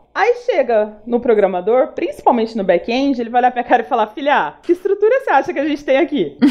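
A woman speaks in a high voice at a fairly quick pace. Her pitch swings very widely. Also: hardly any pauses. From Paraná, Brazil. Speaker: UX designer. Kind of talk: casual chat.

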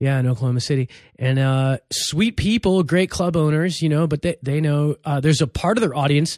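With a Los Angeles accent, a man speaks at a fairly quick pace with hardly any pauses, his fairly high pitch showing ordinary variation. His loudness stays very even, and the sound is dry and close with no echo. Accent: sounds like a Los Angeles surfer. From East Los Angeles, US. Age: 40s. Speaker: comedian. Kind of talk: casual chat. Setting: studio.

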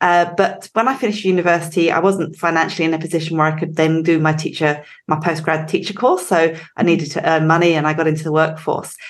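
At a very fast pace, a woman with an English accent speaks with fairly even intonation and very even loudness. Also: fairly low pitch for a woman. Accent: English accent, still noticeable. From England. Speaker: recruitment company director. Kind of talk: interview conversation.

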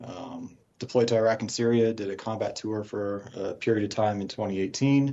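Here a man has a normal speaking voice and an American accent. He keeps a medium pitch, a moderate pace and fairly even intonation. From US West, Colorado Springs. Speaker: financial advisor, former army helicopter pilot. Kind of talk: interview. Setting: Skype call.

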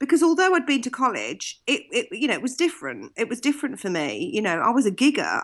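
In a British accent, a woman talks at a fairly quick pace with hardly any pauses. Her pitch swings very widely. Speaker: singer, vocal coach, TV judge. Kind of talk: casual interview. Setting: video call from Florida.

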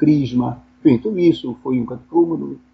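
A man with medium pitch and lively intonation at a fairly slow pace. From Angola (Benguela). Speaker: philosophy professor. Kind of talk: interview. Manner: halting, with frequent repetitions.

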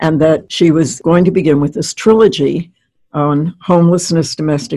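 With vocal fry and a dark, mellow tone, a woman speaks at a moderate pace in a very deep, low voice with ordinary pitch variation. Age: 80s. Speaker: retired organizational consultant and educator. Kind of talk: casual interview conversation.

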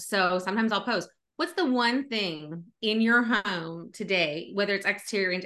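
Against a quiet background, a woman speaks at a medium pitch in a bright, sharp tone with ordinary pitch variation. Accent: American. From Northern California. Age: 40s. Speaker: real estate agent. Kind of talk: podcast interview.

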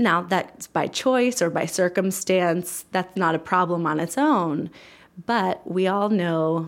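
In a very clean recording with a silent background, a woman with an American accent and a plain, everyday voice talks at a fairly slow pace, with a fairly low pitch and ordinary pitch variation. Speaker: community aging program director. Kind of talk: interview.

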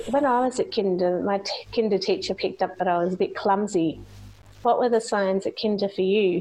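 A woman with an Australian accent talks at a fairly quick pace in a medium pitch, her tone dark and mellow and her intonation fairly even. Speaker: podcast host. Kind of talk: interview. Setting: remote call.

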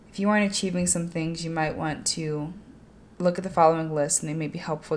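A woman mumbles in a very deep, low pitch. Her intonation stays fairly even. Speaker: podcast host. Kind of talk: motivational monologue. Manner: mumbling.

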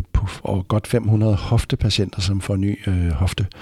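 A man speaks in a fairly low voice. His delivery is somewhat breathy. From West Jutland, Denmark. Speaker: anaesthesiology professor. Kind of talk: expert interview. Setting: hospital conference room.

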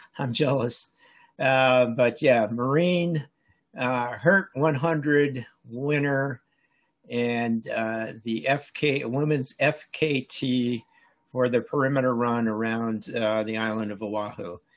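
A man with an American accent at a very slow pace, medium in pitch, with ordinary pitch variation. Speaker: podcast host, runner. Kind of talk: casual interview. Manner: halting.

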